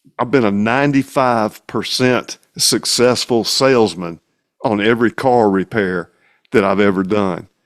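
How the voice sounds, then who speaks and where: In a Mississippi accent, a man speaks at a fairly slow pace and medium pitch, with ordinary pitch variation and very even loudness. The sound is dry and close with no echo, and the recording is very clean against a silent background. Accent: Southern accent, Pontotoc Mississippi. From Mississippi, Pontotoc. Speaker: singer-songwriter and mechanic. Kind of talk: casual interview chat.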